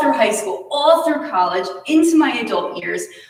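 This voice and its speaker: In a room with audible echo, a woman speaks with very wide pitch swings. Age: 30s. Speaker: nutrition and acne coach. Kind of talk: presentation.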